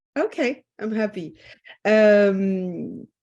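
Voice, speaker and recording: A woman speaks with a French accent. The background is quiet. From France. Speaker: interviewer. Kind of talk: interview.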